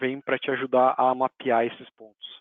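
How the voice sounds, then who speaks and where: A man speaks with flat, monotone intonation. His pitch sits in the medium range. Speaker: Salesforce technical specialist presenter. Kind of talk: technical webinar presentation.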